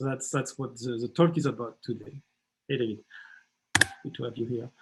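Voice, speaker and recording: A man with a French accent, medium pitch, fairly even intonation and a fairly quick pace. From France. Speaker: startup mentor and workshop leader. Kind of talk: workshop presentation. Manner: halting, many fillers and repetitions.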